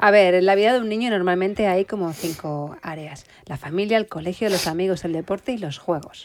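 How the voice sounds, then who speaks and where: This woman has an unremarkable speaking voice at a medium pitch, talking at a fairly quick pace with hardly any pauses. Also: ordinary pitch variation. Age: 40s. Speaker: podcast host. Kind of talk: casual interview.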